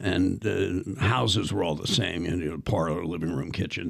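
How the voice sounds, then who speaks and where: The speaker has an American accent. Vocal fry runs through the voice. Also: man. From US Northeast, Philadelphia. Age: 70s. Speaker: actor and professor. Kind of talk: casual interview storytelling. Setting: podcast studio. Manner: animated.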